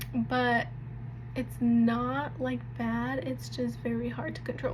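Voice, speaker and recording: A soft-spoken woman is heard with audible room echo and noticeable background noise. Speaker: vlogger sharing health journey. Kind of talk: casual vlog talk. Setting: home nighttime routine on camera. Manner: casual, filler-heavy.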